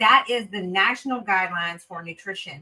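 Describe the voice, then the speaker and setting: A woman speaks with an American accent. Her pitch shows ordinary variation. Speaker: renal dietitian. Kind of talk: webinar talk. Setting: video webinar.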